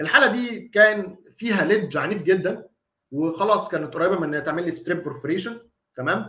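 A man with a high pitch and a bright, sharp tone talks fairly quickly, with audible room echo against a quiet background. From Egypt. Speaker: dentist lecturer. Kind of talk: online lecture. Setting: live online stream. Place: home room. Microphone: webcam.

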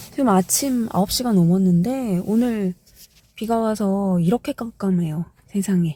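Her tone dark and mellow, a woman speaks fairly slowly at a medium pitch with ordinary pitch variation. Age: 40s. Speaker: freelance instructor. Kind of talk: casual vlog talk to camera.

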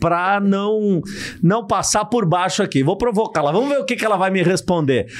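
A man talks at a moderate pace in a high pitch, his intonation lively. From São Paulo, Brazil. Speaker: podcast host. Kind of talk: casual interview chat. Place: studio. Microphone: studio mic.

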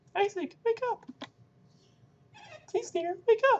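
This put-on character voice is squeaky and extremely high-pitched, delivered at a fairly slow pace. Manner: pleading, urgent; self-described as terrible voice acting.

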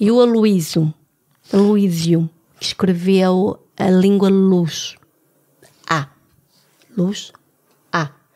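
A woman's dark, mellow voice at medium pitch, with ordinary pitch variation, a very slow pace and long, frequent pauses. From France. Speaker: podcast host. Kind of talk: casual chat.

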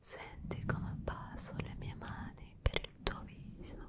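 A soft-spoken woman whispers at a very slow pace, the sound dry with no echo but with loud background noise. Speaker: ASMR creator. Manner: soft close-mic ASMR whisper. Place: studio. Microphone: studio mic.

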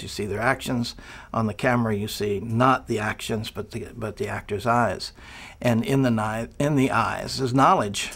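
The pace is fairly quick. A man talks with fairly even intonation. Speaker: acting coach. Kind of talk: interview answer. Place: studio. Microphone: lapel.

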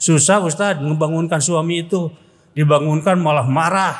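A man's fairly high voice at a moderate pace, animated in tone. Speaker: Islamic preacher. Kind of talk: humorous sermon. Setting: mosque with congregation. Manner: animated, humorous. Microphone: podium.

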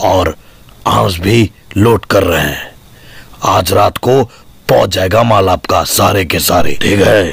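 Raspy and fairly low-pitched, a man talks at a fairly slow pace with ordinary pitch variation. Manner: menacing, zealous.

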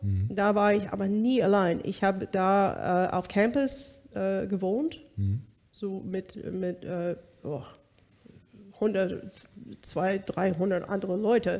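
The woman's pitch variation is ordinary. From US West Coast (Bakersfield, California); California. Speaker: singer; interview guest. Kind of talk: interview, personal testimony. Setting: studio. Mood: reflective, personal story. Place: kitchen.

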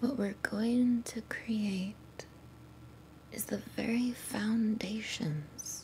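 Soft-spoken, a woman talks at a very slow pace with ordinary pitch variation over light background noise. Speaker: ASMR creator. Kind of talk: soft-spoken ASMR chat. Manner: soft quiet ASMR talking. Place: home room. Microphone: studio mic.

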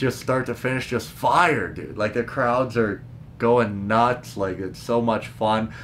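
Speaking at a fairly slow pace with ordinary pitch variation, a man with a Western Canadian accent is heard over light background noise. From Prince George, British Columbia; British Columbia. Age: 30s. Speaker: stand-up comedian; comedian podcaster. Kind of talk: casual solo podcast talk; casual vlog chat. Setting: parents' basement. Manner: animated. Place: home room.

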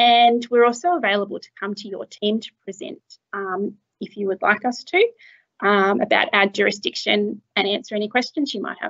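A woman at a moderate pace, with ordinary pitch variation, big swings in loudness and a quiet background. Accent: Australian. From rural New South Wales, Australia. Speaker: dispute resolution officer; presenter. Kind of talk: webinar presentation. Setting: video call. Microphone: webcam.

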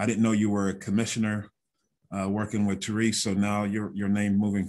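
A man's fairly low, monotone voice at a moderate pace, with flat intonation and a quiet background. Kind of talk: panel discussion answer. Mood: friendly, lightly joking. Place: office. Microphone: video call.

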